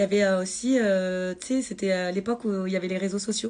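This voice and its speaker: A woman speaks at a medium pitch. Her pace is moderate. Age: 30s. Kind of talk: personal testimony on Instagram live. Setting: Instagram live video. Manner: halting, many hesitations.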